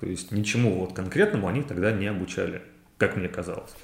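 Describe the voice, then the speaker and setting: Somewhat breathy, a man speaks at a fairly low pitch with ordinary pitch variation. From Ryazan region, Russia. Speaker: interior designer. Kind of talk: interview.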